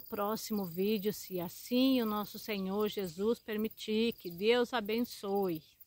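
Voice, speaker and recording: A woman with a Brazilian accent speaks at a very slow pace with fairly even intonation. The sound is dry, with no echo. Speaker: preacher. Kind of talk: short sermon with scripture reading. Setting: online video message to channel viewers. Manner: fervent, exhorting, preacher in full flow. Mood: fervent, calm blessing. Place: forest. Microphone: phone near.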